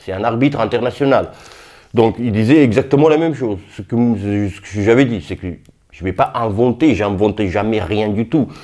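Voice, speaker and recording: On a very clean recording with a silent background, a man with a medium pitch speaks at a moderate pace in a dark, mellow tone with ordinary pitch variation. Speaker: boxing youtuber. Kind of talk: casual vlog commentary. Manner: halting, many fillers.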